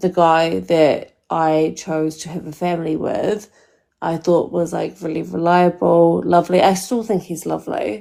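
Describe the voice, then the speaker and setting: A woman with a New Zealand accent at a fairly slow pace. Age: 30s. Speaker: caller. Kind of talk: live call-in dating advice. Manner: casual, hesitant with many fillers.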